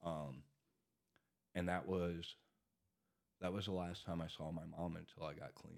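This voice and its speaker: A man with a very deep, low voice speaks in a flat monotone. He talks at a fairly slow pace with long, frequent pauses. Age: 40s. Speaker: recovering addict sharing his story. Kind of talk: casual chat. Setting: studio.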